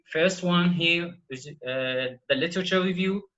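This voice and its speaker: A speaker with an Arabic accent talks at a fairly slow pace, using lively intonation. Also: man. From Iraq. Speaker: PhD student presenter. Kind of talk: online workshop lecture. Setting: video call. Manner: halting, many fillers.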